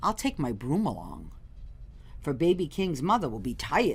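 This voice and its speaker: Using a put-on character voice, a woman swings her fairly low pitch very widely while keeping a moderate pace. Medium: read story.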